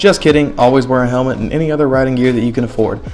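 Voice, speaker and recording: A man at a medium pitch with a Southern US accent, music playing in the background. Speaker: motorcycle rider. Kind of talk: casual explainer talk to camera. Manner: humorous, casual.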